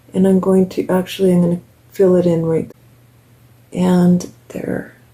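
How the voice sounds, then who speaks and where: There is noticeable background noise in this clip. A woman with a medium pitch talks at a very slow pace. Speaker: beauty vlogger. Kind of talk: makeup tutorial. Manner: casual, chatty.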